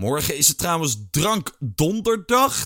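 Recorded very cleanly against a silent background with a dry, close sound and no echo, a man speaks in a high-pitched, bright, sharp tone. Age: 30s. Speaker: podcast host. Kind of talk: casual personal diary podcast.

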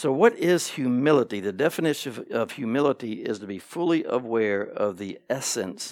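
Recorded very cleanly against a silent background, a man talks at a moderate pace and medium pitch in a normal speaking voice with lively intonation. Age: 50s. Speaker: pastor. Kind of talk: sermon. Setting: church.

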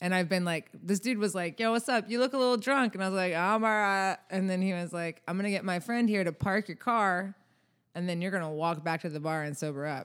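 A woman with an American accent speaks at a fairly quick pace in an unremarkable speaking voice, pitched fairly low with ordinary pitch variation. The recording is very clean, the background silent. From US South. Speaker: musician. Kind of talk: casual chat.

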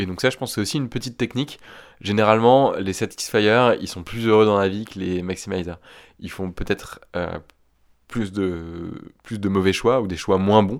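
Recorded very cleanly against a silent background, a man with a fairly low voice speaks at a moderate pace with ordinary pitch variation. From northern France, Picardy. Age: 30s. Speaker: fear specialist. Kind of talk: interview. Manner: halting.

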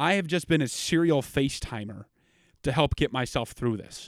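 A man's fairly high voice, a normal speaking voice, at a moderate pace in a very clean recording with a silent background. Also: dry, close sound with no echo. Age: 20s. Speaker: podcast host. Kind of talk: casual solo podcast monologue. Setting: home basement studio.

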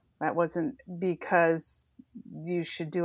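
Captured on a very clean recording with a silent background, a woman speaks in a very deep, low voice with a monotone, flat intonation. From Washington State, US. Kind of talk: interview.

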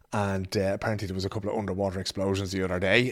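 An Irish-accented man talks at a very fast pace with a fairly low pitch. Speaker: podcast host. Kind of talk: casual chat. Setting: studio.

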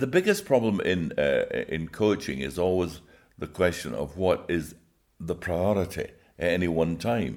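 This man has a very deep, low pitch and vocal fry. His pitch varies in an ordinary way. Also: moderate pace. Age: 80s+. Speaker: Olympic coach and author. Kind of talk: interview, reminiscing. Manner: warm, enthusiastic, storytelling.

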